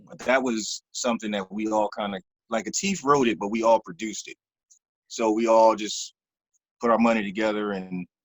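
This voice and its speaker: A man with a Philadelphia accent at a moderate pace, fairly low in pitch, with fairly even intonation and big swings in loudness. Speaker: actor. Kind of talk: interview answer. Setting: video call.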